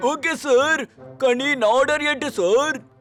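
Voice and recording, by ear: A cartoonish character voice moves at a moderate pace. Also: man.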